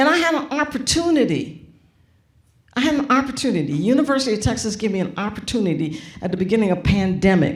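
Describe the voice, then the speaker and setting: A woman's very fast, animated, somewhat breathy voice, fairly high in pitch with very wide pitch swings, in a room with audible echo. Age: 70s. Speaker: graphic designer and author. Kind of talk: onstage conversation. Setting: auditorium with audience.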